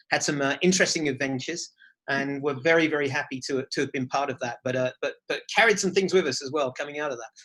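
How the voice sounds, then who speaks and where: A man with an English accent, a fairly high pitch and a bright, sharp tone, talking at a very fast pace. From England. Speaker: charity executive director. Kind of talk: interview. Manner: hesitant, with many fillers and repeated words.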